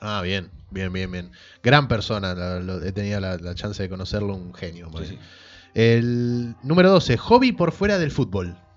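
A man with a normal speaking voice talks fairly slowly at a fairly low pitch. His pitch varies ordinarily, while his loudness swings widely. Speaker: podcast host. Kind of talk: casual chat.

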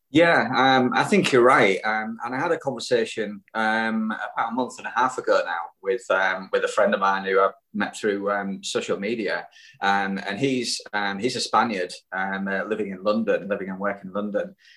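With a Yorkshire accent, a man speaks at a medium pitch in a bright, sharp tone with ordinary pitch variation. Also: moderate pace. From Hull, Yorkshire. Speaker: cycling club guest. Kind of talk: casual interview chat. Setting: remote call. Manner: hesitant, many fillers.

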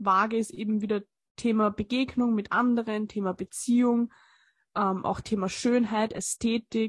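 A woman speaks at a moderate pace in a fairly high, somewhat breathy voice, with very even loudness and monotone, flat intonation. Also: dry, close sound with no echo, quiet background. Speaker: astrology podcast co-host. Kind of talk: casual chat.

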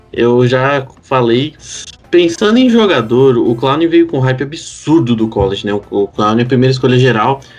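A man talks at medium pitch and a moderate pace with ordinary pitch variation. Music plays in the background. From Curitiba, Paraná, southern Brazil. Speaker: American football podcast co-host. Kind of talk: casual chat.

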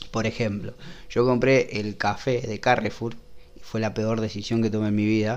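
The man talks at a moderate pace and a medium pitch. His intonation stays fairly even. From Rosario, Argentina. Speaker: illustrator. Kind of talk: casual chat. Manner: halting.

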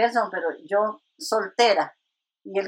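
Using a normal speaking voice, a woman talks at a fairly high pitch with fairly even intonation. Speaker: retired nurse and church minister. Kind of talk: testimony.

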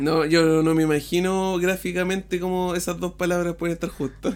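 A man with a Chilean accent talks at a moderate pace in a high pitch. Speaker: podcast co-host. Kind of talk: casual chat.

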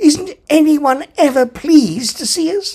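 An extremely high-pitched, put-on character voice from a man. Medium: read story. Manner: puzzled, plaintive.

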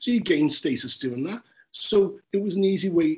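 With a Liverpool accent, a man talks in a lively intonation. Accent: Scouse (Liverpool). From Liverpool, England. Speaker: journalist. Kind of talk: casual interview.

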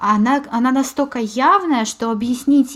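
This is a woman talking. Her voice shows ordinary pitch variation. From Moscow, Russia. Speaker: podcast host. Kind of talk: casual chat.

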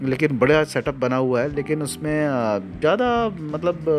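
The speaker is a man. His intonation is lively. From Jhansi, Bundelkhand, India. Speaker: local city podcaster. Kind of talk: descriptive guided tour narration. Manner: casual, heavy Hindi-English code-switching.

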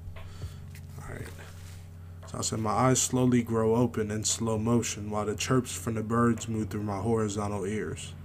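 Over music in the background, a man talks with a fairly low pitch and fairly even intonation. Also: moderate pace. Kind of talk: poet spoken word. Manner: vivid, rhythmic, imagery-heavy, delivered with poetic cadence.

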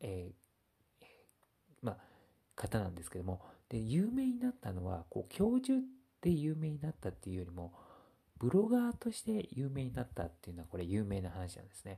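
At a moderate pace, a man speaks. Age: 30s. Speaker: blogger. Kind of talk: casual monologue. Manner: halting, many fillers.

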